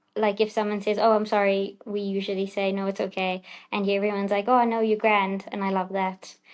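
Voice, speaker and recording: A woman speaks fairly quickly with a strong South African accent. Her medium-pitched delivery stays monotone, with flat intonation. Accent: South African, still quite strong. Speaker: doctor. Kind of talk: podcast interview.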